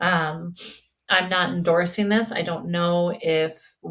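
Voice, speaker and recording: A woman with an ordinary speaking voice, fairly low in pitch, with fairly even intonation. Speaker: spiritual podcast host and mental health provider. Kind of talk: casual solo podcast talk.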